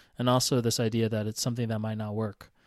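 The recording is very clean, with a silent background and a dry, close sound with no echo. A man talks in an ordinary speaking voice with fairly even intonation. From Atlanta, US South. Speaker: podcast co-host, brand strategist. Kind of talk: casual chat.

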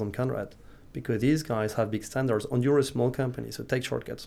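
In a French accent, a man speaks at medium pitch with fairly even intonation. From France, Nantes. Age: 30s. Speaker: startup founder and investor. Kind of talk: interview. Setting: studio. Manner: halting, with frequent repetitions.

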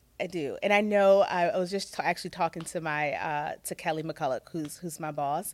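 On a very clean recording with a silent background, a woman with a normal speaking voice and fairly low pitch talks at a fairly quick pace with hardly any pauses and fairly even intonation. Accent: American. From Virginia. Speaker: corporate equity and inclusion executive. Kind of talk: interview.

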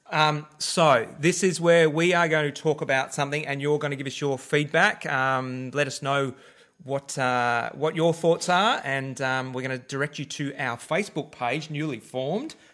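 With an Australian accent and a bright, sharp tone, a man speaks at a moderate pace in a fairly high pitch, his intonation fairly even and hardly any pauses, on a very clean recording with a silent background. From Victoria, Australia. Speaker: podcast co-host. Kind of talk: casual chat.

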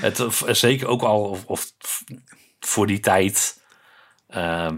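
A man's voice at a very deep, low pitch. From Netherlands, Breda (North Brabant). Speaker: podcast co-host. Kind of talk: casual chat.

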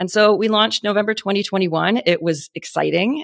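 A woman speaks with vocal fry in a dry, close sound with no echo. The recording is very clean, the background silent. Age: 40s. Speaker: beauty brand founder and CEO. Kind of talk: podcast interview. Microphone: good podcasting microphone.

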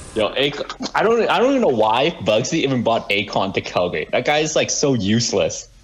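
Fairly quick in pace, a man's medium-pitched voice shows very wide pitch swings. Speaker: podcast guest, cell phone store worker. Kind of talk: casual chat.

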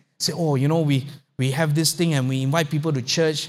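A man speaks fairly quickly in an animated, somewhat breathy tone at a fairly high pitch. The recording is very clean, with a silent background. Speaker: pastor. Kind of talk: sermon. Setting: church. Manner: halting, frequent repetitions and fillers.

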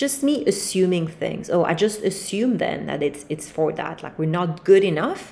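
Amid noticeable background noise, a woman with a French accent speaks fairly quickly in a fairly low pitch with lively intonation. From France, Paris. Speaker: podcast host. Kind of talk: solo monologue, casual talk to listeners. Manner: relaxed, freestyle, rambling with fillers.

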